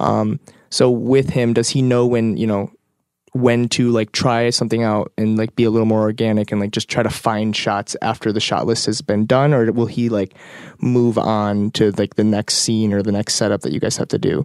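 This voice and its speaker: A normal speaking voice with fairly even intonation moves at a moderate pace. The recording is very clean with a silent background, and the sound is dry and close with no echo. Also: man, medium pitch for a man. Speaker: podcast host. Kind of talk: interview. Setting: in person in Detroit.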